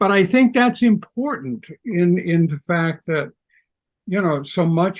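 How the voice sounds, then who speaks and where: Pitched high for a man, his voice moves at a fairly slow pace with very wide pitch swings. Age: 80s+. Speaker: retired high school English teacher and writer. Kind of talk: interview about grief. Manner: halting.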